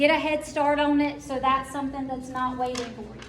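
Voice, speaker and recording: Fairly quick, monotone delivery with an American accent, audible room echo and noticeable background noise. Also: woman. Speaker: school counselor. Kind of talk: parent information meeting.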